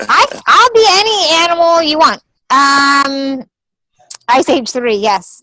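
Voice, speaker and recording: A bright, sharp, raised and projected voice at a very slow pace, with very wide pitch swings. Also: woman, high pitch for a woman. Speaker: comedian and actress. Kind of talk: interview.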